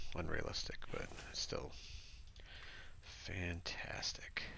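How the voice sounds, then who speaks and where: The man speaks in a soft-spoken way. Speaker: gaming streamer. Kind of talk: live gameplay commentary. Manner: casual, halting.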